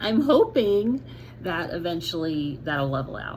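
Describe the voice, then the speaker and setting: A woman's speech comes with audible room echo. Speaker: vlogger sharing medical recovery update. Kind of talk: casual video update to viewers. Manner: frequent fillers, halting.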